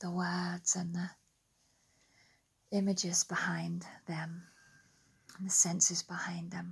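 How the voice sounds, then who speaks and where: A soft-spoken, somewhat breathy woman with an English accent, fairly low in pitch, at a very slow pace. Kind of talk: guided relaxation. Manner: soft, slow.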